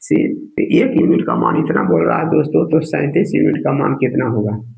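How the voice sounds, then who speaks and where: Fairly slow speech from a man, the room echo clearly audible. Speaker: exam coaching teacher. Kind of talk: tutorial. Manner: casual, repetitive filler words.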